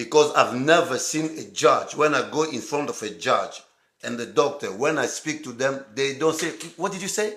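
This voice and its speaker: A man with an African accent, fairly high in pitch and animated in tone, at a moderate pace. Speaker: live-stream host. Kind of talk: casual chat. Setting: live stream.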